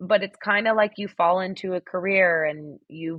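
Here a woman talks at a moderate pace. Her pitch variation is ordinary. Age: 30s. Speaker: communications professional. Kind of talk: casual chat.

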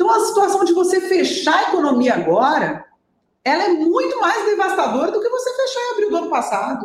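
A woman talks at a moderate pace in an extremely high voice with lively intonation. Her loudness stays very even. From Brasília, Brazil. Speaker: municipal finance secretary. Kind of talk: interview.

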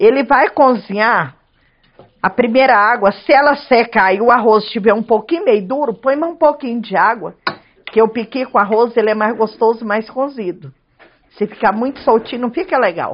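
A woman talks at a moderate pace in a normal speaking voice, fairly high in pitch with ordinary pitch variation. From Goiás, Chapada dos Veadeiros (central Brazil). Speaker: cook and restaurant owner. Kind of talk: cooking tutorial. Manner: casual.

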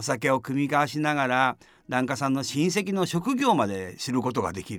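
This man has an unremarkable speaking voice, pitched fairly high. He talks at a moderate pace in a very clean recording with a silent background. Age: 60s. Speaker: Buddhist priest. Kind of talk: dharma talk. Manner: calm, measured with fillers.

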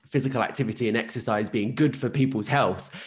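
With an Essex accent, a man speaks with ordinary pitch variation. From Essex, southeast England. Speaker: podcast host, physiotherapist. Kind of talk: interview.

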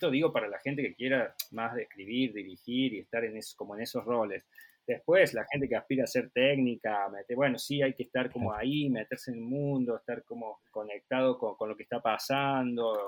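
A man with a plain, everyday voice, medium pitch, fairly even intonation and a fairly quick pace, in a dry, close sound with no echo. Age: 30s. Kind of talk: interview.

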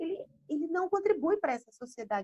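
A woman's voice moves in very wide pitch swings. The sound is dry and close, with no echo. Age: 30s. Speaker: psychologist. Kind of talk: casual chat.

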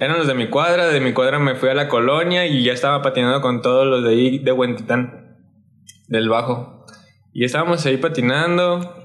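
A man's medium-pitched voice at a moderate pace, with ordinary pitch variation and very even loudness, plus noticeable background noise and audible room echo. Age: 20s. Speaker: skateboarder and muralist. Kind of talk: casual chat.

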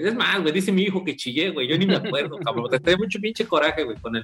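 A man talks very fast with a Mexican accent and lively intonation. His pitch is fairly high, with music in the background. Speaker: football podcast co-host. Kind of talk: casual chat.

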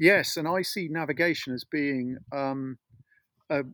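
The recording is dry and close with no echo, and a man speaks at a fairly high pitch with ordinary pitch variation. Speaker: natural navigation author and teacher. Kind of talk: interview. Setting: video call from a forest cabin.

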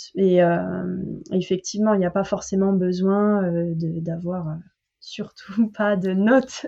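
A woman speaks very slowly with a slight southern French accent and a dark, mellow tone. Her intonation stays fairly even, broken by long, frequent pauses. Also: medium pitch for a woman. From southern France. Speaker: French language coach. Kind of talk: casual interview chat. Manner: hesitant, many fillers.

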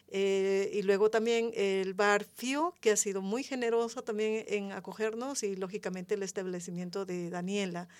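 An ordinary speaking voice at a moderate pace, with fairly even intonation and hardly any pauses. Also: woman, medium pitch for a woman. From Peru. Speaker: community member, former intercultural mediator. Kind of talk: radio roundtable discussion. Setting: radio studio.

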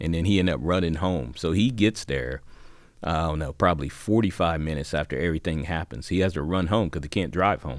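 Fairly quick speech from a man with an American accent, very deep and low in pitch, with vocal fry and ordinary pitch variation, on a very clean recording with a silent background. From Xenia, Ohio. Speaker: retired highway patrol officer, tornado survivor. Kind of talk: personal testimony.

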